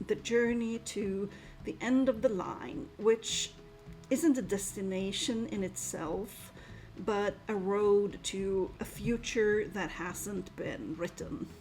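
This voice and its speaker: Over music in the background, a woman talks at a very slow pace with a medium pitch and ordinary pitch variation. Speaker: book reviewer. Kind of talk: book review voice-over. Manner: enthusiastic.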